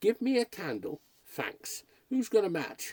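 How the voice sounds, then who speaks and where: A man speaks in a put-on character voice, pitched high. His pace is fairly slow. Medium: read story. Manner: brisk, confident.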